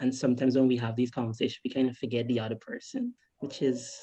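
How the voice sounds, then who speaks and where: A woman with a Guyanese accent, her voice very deep and low-pitched, dark and mellow in tone. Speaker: filmmaker. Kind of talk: panel Q&A answer. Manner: hesitant, many fillers.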